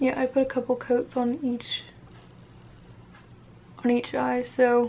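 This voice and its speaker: A soft-spoken woman at a fairly slow pace. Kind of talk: ASMR makeup routine talking to camera.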